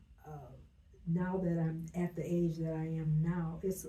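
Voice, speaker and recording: A woman's fairly low-pitched voice at a moderate pace, with noticeable background noise and audible room echo. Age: 70s. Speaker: business owner. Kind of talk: interview. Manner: halting.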